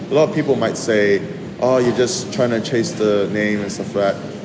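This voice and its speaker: This man has a fairly low pitch and ordinary pitch variation. Noticeable background noise and audible room echo fill the recording. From Malaysian Borneo. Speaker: chef. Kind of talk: casual interview.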